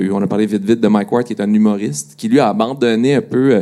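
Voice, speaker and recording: A man's voice, fairly low in pitch, carries a dark, mellow tone. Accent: Quebec. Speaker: digital media director. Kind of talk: panel discussion. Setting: stage with audience.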